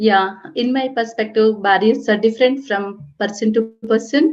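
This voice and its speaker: This woman talks at a fairly slow pace with a fairly high pitch and ordinary pitch variation. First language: not English. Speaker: cybersecurity professional, panelist. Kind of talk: panel discussion. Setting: webinar video call.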